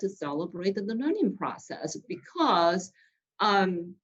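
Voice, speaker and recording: With a non-native accent, a woman speaks at a medium pitch. Her pace is very slow. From outside the US, immigrant. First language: not English. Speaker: business leader, guest speaker. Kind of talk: panel interview. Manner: halting, many fillers and restarts.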